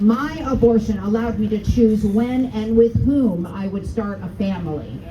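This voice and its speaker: A woman with an American accent and fairly high pitch talks at a moderate pace with ordinary pitch variation, with audible room echo and noticeable background noise. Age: 60s. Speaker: rally speaker. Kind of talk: testimony.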